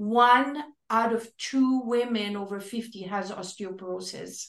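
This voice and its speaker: A woman speaks at a fairly high pitch. Her pace is very slow and her intonation fairly even. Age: 60s. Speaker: fitness expert. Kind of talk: casual chat.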